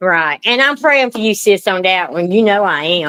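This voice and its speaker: A woman's medium-pitched voice, with lively intonation, moves at a moderate pace. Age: 60s. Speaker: livestreamer. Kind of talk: casual chat. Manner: animated.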